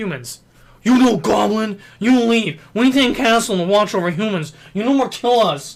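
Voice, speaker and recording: Using a put-on character voice, a man speaks at a moderate pace with a high pitch. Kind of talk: broken simple speech.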